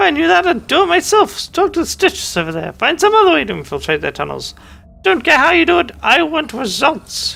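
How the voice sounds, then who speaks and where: The put-on character voice sounds strained, with a fairly high pitch and a fairly quick pace. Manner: gruff, demanding.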